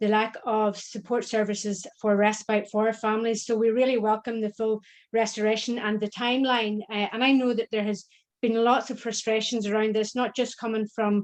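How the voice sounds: A woman at a moderate pace, fairly high in pitch, with little pitch movement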